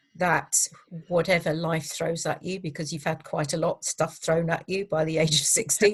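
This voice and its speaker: A somewhat breathy woman's voice, fairly low in pitch, with monotone, flat intonation. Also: moderate pace. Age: 60s. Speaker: public speaker and coach. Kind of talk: interview conversation.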